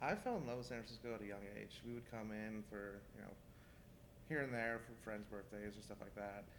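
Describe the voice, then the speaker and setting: A man at a fairly quick pace in a Californian accent, fairly low in pitch, with fairly even intonation and audible room echo. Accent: Californian American. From California, Central Valley (Manteca). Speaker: chef. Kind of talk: interview. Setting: restaurant.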